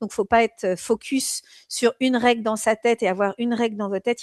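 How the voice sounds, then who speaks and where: A woman speaks at a fairly high pitch with fairly even intonation. The sound is dry and close with no echo, over a quiet background. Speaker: exam prep teacher. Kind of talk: live online lecture. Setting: live stream. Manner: hesitant, many fillers.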